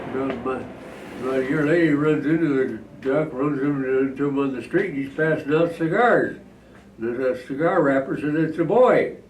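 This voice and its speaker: Noticeable noise sits behind a man's fairly high voice. He talks at a moderate pace with ordinary pitch variation. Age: 80s+. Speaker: WWII veteran. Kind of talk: joke telling.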